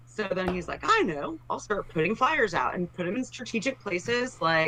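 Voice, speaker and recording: Over noticeable background noise, a woman at medium pitch talks at a moderate pace with very wide pitch swings. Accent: American. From Texas, Dallas. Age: 40s. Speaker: political candidate. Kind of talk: interview.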